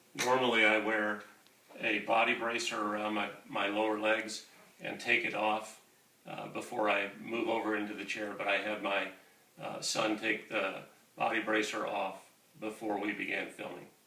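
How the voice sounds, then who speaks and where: Speaking at a moderate pace, a man keeps to a fairly low pitch and a monotone, flat intonation. Noticeable background noise and audible room echo fill the recording. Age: 50s. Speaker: wheelchair user demonstrating mobility. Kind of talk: tutorial. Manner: halting.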